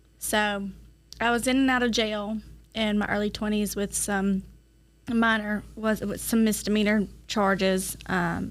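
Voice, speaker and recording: Slowish and flat, a woman with a Georgia accent speaks at a medium pitch with monotone intonation and a fairly slow pace. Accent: US Southern (Georgia). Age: 30s. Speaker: recovering addict, drug court alumna. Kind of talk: interview testimony.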